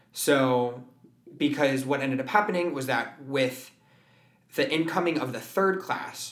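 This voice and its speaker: Noticeable background noise and audible room echo surround a man speaking at a fairly high pitch. His pace is moderate and his pitch varies in an ordinary way. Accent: American. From US West Coast, San Francisco Bay Area. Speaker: musical theater performer and voice teacher. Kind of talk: casual interview chat. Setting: music studio at a performing arts school.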